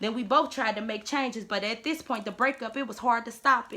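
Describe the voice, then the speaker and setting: Raised and projected, the voice races along at a very fast pace with fairly even intonation. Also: woman. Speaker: spoken word poet. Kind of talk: spoken word poetry.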